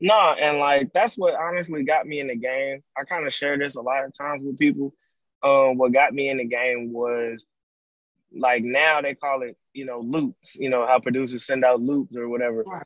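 With a normal speaking voice, a man talks at a moderate pace and fairly high pitch, using ordinary pitch variation. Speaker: music producer. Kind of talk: casual interview. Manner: laid-back, filler-heavy.

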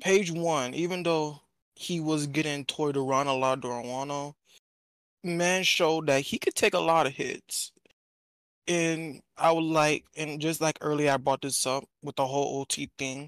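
The speaker talks at a fairly slow pace. The recording is very clean, with a silent background. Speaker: debater. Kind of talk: casual debate.

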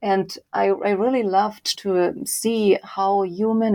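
A woman speaks with a German accent at a medium pitch. Her tone is dark and mellow, and the background is quiet. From Germany, Leipzig. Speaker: author and data visualization researcher. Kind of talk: interview.

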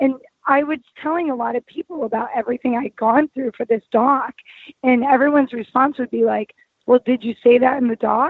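Speaking at a fairly quick pace, a woman with an American accent has a high pitch and ordinary pitch variation. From Anaheim, California. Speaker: actress and filmmaker. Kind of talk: casual interview chat. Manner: animated, casual.

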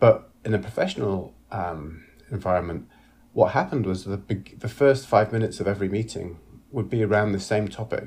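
A somewhat breathy voice moves at a moderate pace with fairly even intonation over a quiet background. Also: man. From northern England, Leeds. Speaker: actor and director. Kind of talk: casual interview.

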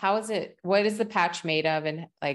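In an ordinary speaking voice, a woman with an American accent speaks at a moderate pace in a fairly low pitch, with ordinary pitch variation and a quiet background. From West Virginia. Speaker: podcast host and functional medicine practitioner. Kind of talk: casual interview; scripted intro.

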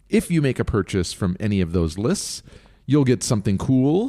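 In a very clean recording with a silent background, a man with a dark, mellow, medium-pitched voice speaks at a moderate pace with very wide pitch swings. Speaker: cookbook podcast co-host. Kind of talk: casual chat. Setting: home living room. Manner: announcer-like delivery.

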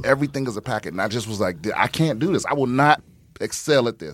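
A man with an American accent talks at a very fast pace in a fairly high pitch, with ordinary pitch variation. Noticeable background noise is present. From US East Coast, Prince George's County, Maryland (DC area). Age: middle-aged. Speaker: stand-up comedian and military veteran. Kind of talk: casual chat.

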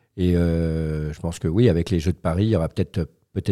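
A man's very deep, low pitch and dark, mellow tone at a fairly quick pace, dry and close with no echo, on a very clean recording with a silent background. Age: 50s. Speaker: wheelchair rugby player and paralympic athlete. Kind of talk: interview. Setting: school, in front of students.

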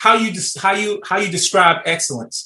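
This man, with an American accent, talks at a moderate pace in a bright, sharp tone. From Chicago. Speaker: retired military officer, father. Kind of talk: casual chat.

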